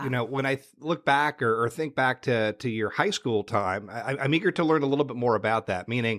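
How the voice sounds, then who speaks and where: With a plain, everyday voice, a man speaks at a medium pitch and a fairly quick pace, with ordinary pitch variation, hardly any pauses and a dry, close sound with no echo. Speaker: podcast host. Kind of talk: podcast intro and interview questions.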